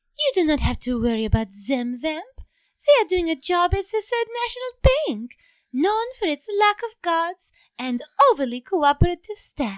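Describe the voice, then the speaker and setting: A woman's put-on character voice, squeaky and extremely high, theatrical in tone, with very wide pitch swings, a moderate pace and a dry, close sound with no echo. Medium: audio drama. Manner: sultry, suggestive, theatrical.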